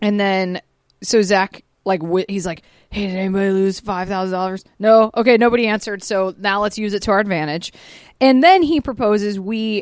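A woman with an American accent and an unremarkable speaking voice, medium in pitch, fairly quick, with ordinary pitch variation. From Georgia, US. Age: 30s. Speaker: podcast host. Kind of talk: casual chat. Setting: studio.

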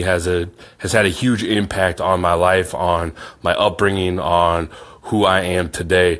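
Against a quiet background, a man speaks with a Midwestern American accent. His pitch is very deep and low, and his intonation fairly even. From Iowa, US Midwest. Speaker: podcast host. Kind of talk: podcast intro monologue.

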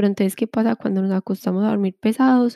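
A woman with a dark, mellow tone is heard in a very clean recording with a silent background and a dry, close sound with no echo. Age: 20s. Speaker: wellness podcast co-host. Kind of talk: casual chat.

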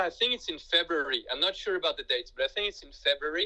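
A man is speaking. He talks with a French accent. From France. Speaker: guest who studied abroad. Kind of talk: casual interview. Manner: halting.

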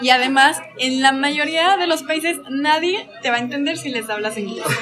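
With noticeable background noise behind her, a woman with a high pitch and ordinary pitch variation speaks at a moderate pace. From Mexico, Aguascalientes. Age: 20s. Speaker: traveler and photographer. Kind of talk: interview conversation. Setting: in a café.

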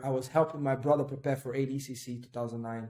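With a Portuguese accent, a man speaks at a fairly slow pace, medium pitch and fairly even intonation. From northeast Brazil (Recife). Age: 30s. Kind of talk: casual interview.

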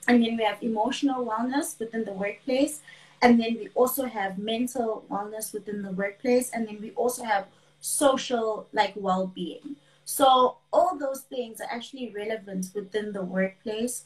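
A somewhat breathy woman with big swings in loudness. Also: fairly high pitch for a woman, ordinary pitch variation, moderate pace. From South Africa, KwaZulu-Natal. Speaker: wellness coach and finance worker. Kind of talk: casual interview chat.

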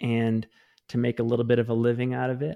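Fairly quick male voice, dark and mellow in tone, with monotone, flat intonation. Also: quiet background. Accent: American. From Maine, US Northeast. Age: 30s. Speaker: trail running podcast host. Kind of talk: casual interview chat.

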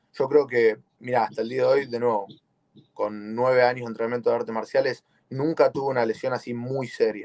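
This man talks at a fairly quick pace. His intonation is flat and monotone. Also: medium pitch for a man. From Argentina, Buenos Aires. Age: 20s. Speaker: jiu-jitsu competitor. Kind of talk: interview.

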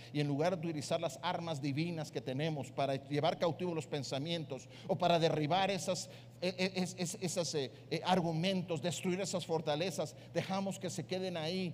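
Audible room echo surrounds a man whose fairly high pitch shows ordinary variation. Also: moderate pace, hardly any pauses. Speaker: pastor. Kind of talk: sermon.

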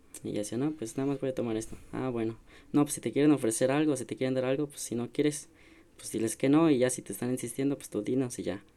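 Speaking very fast, a man with a medium-pitched, dark, mellow tone keeps a fairly even intonation while his loudness swings widely. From rural San Luis Potosí, Mexico. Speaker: podcast co-host. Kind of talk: casual chat.

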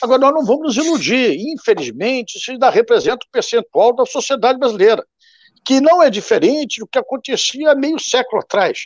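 This man's voice is extremely high in pitch, with lively intonation and a fairly quick pace. The sound is dry and close, with no echo. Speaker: party president, politician. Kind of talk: political panel debate. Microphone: unstable internet connection.

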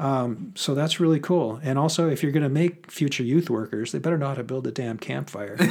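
A man with a normal speaking voice talks at a fairly quick pace with hardly any pauses, his fairly high pitch moving with ordinary variation. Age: 50s. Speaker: author and professor. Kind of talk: casual chat.

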